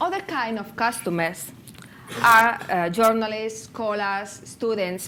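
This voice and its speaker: Amid noticeable background noise and audible room echo, a woman speaks very slowly at a fairly high pitch with ordinary pitch variation. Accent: Spanish. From Spain, near Barcelona. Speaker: conference speaker on open data. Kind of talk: conference presentation. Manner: halting.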